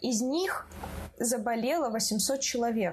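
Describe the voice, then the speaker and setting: A woman speaks with a high pitch at a very slow pace. Her intonation is lively. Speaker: podcast host. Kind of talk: casual chat.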